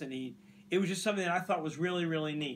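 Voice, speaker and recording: An American accent from a man with a high pitch. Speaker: radio host. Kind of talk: casual chat.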